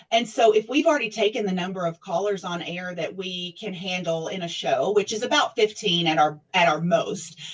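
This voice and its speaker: Over noticeable background noise, a woman with a Southern US accent speaks at a moderate pace and medium pitch with ordinary pitch variation, big swings in loudness and hardly any pauses. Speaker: nonprofit staff, TV show host. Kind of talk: interview. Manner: conversational, many fillers.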